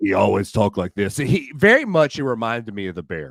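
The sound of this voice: A man's put-on character voice, gravelly and medium-pitched, with very wide pitch swings and a fairly quick pace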